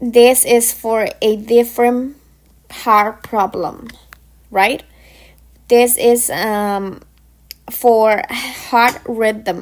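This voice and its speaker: Pausing long and often, a woman with a non-native accent speaks very slowly at a fairly high pitch. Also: fairly even intonation. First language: not English. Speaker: pharmacy technician educator. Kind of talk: informal lecture. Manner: halting.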